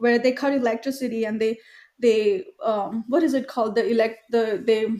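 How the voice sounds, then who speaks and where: A woman with a fairly high pitch and ordinary pitch variation speaks in a dark, mellow tone. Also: moderate pace. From India (Mumbai). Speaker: film executive producer. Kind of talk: casual interview chat. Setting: podcast.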